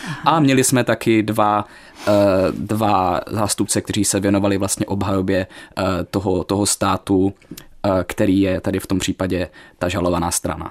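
In an Ostrava accent, a man talks at a moderate pace with a fairly low pitch and ordinary pitch variation, in a dry, close sound with no echo. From Ostrava, Moravia-Silesia, Czechia. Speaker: law student. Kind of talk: radio interview. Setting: radio studio.

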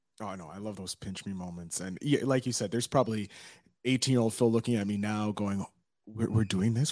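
Fairly low in pitch, a man with an ordinary speaking voice talks at a fairly quick pace with a Canadian accent. The sound is dry and close with no echo, a very clean recording over a silent background. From Montreal, Canada. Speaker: podcast host. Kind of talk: interview.

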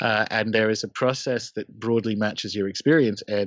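A man speaks in an Australian accent, his fairly low pitch showing ordinary pitch variation. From regional Australia. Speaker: occult podcaster. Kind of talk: casual round-table discussion.

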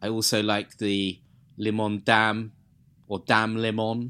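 On a very clean recording with a silent background, a man speaks with an English accent. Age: 30s. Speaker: beer podcast co-host. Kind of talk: casual chat.

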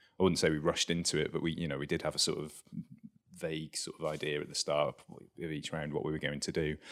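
A man's voice with a very deep, low pitch. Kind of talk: casual chat about a board game. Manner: halting, hesitant with many fillers.

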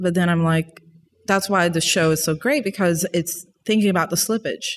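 A woman with a normal speaking voice, a medium pitch, ordinary pitch variation, a moderate pace and very even loudness, on a very clean recording with a silent background. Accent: American. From US South, New Orleans, Louisiana. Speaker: visual artist, graduate student. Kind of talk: casual chat. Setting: in person in London.

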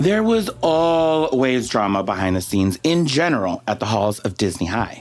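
Speaking at a moderate pace in an American accent, a man with a medium pitch makes very wide pitch swings while keeping his loudness very even. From Texas. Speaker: podcast co-host. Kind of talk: casual chat.

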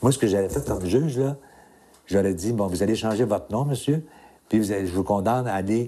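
Dark and mellow, this man's voice sits at a fairly low pitch. He keeps a moderate pace with ordinary pitch variation. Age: 60s. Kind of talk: interview.

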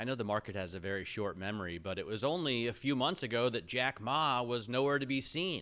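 A man with a medium pitch speaks at a fairly quick pace in a bright, sharp tone, his intonation lively against a quiet background. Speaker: financial podcast co-host. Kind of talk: business news interview. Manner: casual.

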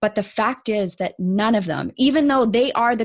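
A woman speaks in a Canadian accent at a moderate pace. Her voice is somewhat breathy, with ordinary pitch variation. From Canada. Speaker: coach and author. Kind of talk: interview. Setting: video call.

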